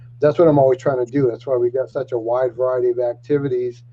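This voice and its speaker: A man speaks at a medium pitch, his voice somewhat breathy. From Maine, Penobscot Nation. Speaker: youth program worker. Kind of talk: panel introduction.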